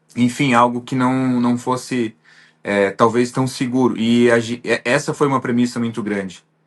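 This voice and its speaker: Against a quiet background, a man talks at a moderate pace in a medium pitch with monotone, flat intonation. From Santa Catarina, southern Brazil. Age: 30s. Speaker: business owner, visa applicant. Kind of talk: interview. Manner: halting, many fillers.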